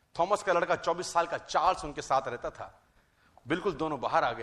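A man speaks in a high voice with a bright, sharp tone. The background is quiet. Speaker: motivational speaker. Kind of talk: motivational talk. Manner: animated.

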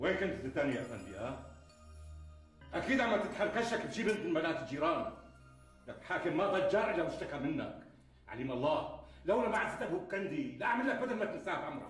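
A man talks at a fairly quick pace amid audible room echo and faint music in the background. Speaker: actor playing an angry shopkeeper. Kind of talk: acted drama dialogue. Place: home room. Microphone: camera far.

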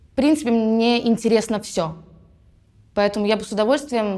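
A woman talks at a fairly high pitch with ordinary pitch variation and a dark, mellow tone. The background is quiet. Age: 20s. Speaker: musical theatre actress. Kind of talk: actor self-presentation. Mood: cheerful, playful. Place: studio. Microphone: lapel.

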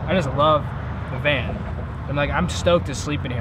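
A man speaks very fast in a dry sound with no echo, while loud background noise plays behind him. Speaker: van life vlogger. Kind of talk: casual vlog chat. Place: car. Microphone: camera far.

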